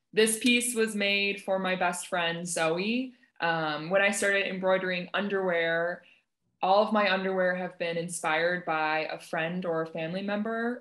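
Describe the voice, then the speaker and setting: Speaking fairly slowly, a woman keeps her intonation fairly even over a quiet background. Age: 20s. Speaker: textile artist. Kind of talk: panel discussion. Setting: video call. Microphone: video call.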